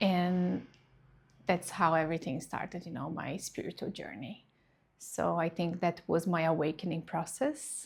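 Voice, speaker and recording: A woman's fairly low voice with a Portuguese accent, a fairly slow pace and ordinary pitch variation, in a very clean recording with a silent background. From Brazil. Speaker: reiki practitioner. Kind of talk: personal testimony.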